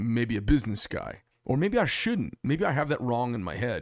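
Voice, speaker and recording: A man's plain, everyday voice at medium pitch and a moderate pace, in a very clean recording with a silent background. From Arizona, Phoenix. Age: 50s. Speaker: podcast host. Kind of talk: casual chat. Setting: studio.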